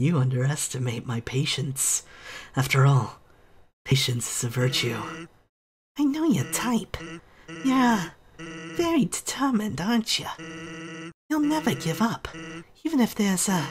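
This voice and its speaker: At a middle pitch and moderate pace, the speaker puts on a character voice, with long, frequent pauses. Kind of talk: deadpan comic taunting. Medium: virtual streamer. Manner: drawling, smug, laid-back.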